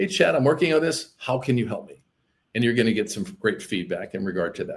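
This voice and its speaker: Fairly quick and somewhat breathy, a man's voice makes very wide pitch swings and big swings in loudness. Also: medium pitch for a man. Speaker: appraiser and AI business coach. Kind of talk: podcast interview. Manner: fast; animated.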